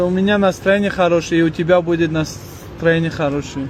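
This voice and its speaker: A man speaks in an animated tone, his pitch high for a man. Noticeable background noise runs underneath. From Tajikistan. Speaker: street video blogger. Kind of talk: street interview.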